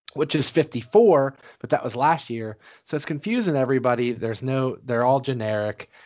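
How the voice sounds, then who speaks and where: A man speaks in an ordinary speaking voice at a medium pitch. His pace is fairly quick against a quiet background. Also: ordinary pitch variation. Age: 30s. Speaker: sports podcast host. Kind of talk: casual chat.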